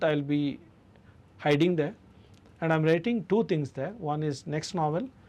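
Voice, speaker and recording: Speaking at a fairly slow pace, a man with a Karnataka accent has a fairly high pitch. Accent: Indian English (Kannada). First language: Kannada. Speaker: author and literature festival director. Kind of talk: radio interview.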